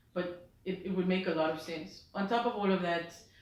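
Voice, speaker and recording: A woman's monotone, flat delivery with audible room echo and noticeable background noise. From South Africa. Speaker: music journalist and DJ. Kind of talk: interview. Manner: hesitant with fillers.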